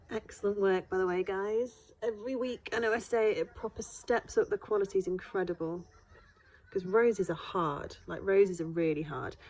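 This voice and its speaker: A woman with a British accent, medium pitch and fairly even intonation. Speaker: art teacher. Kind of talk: tutorial. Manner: fast.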